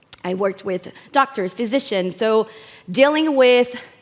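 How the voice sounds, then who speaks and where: With a Brazilian Portuguese accent, a woman speaks at a moderate pace and a fairly high pitch, with lively intonation over noticeable background noise. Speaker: community program manager. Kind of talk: conference talk. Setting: stage with audience. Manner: hesitant, many fillers.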